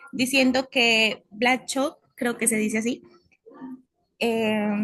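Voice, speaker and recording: A woman is speaking. Her voice is high in pitch. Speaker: university student. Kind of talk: class presentation.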